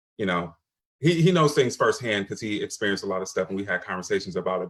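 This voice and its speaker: A man with an American accent has a plain, everyday voice and a fairly low pitch. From Michigan. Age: 40s. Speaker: panelist. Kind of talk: panel discussion.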